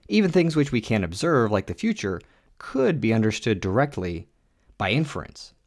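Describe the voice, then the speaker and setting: A man speaks at a moderate pace and a medium pitch, in an animated tone with very wide pitch swings. The recording is very clean, with a silent background. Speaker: podcast host. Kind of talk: scripted narration styled as a mock boxing match commentary. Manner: mock ring announcer, theatrical and playful; animated, then explanatory.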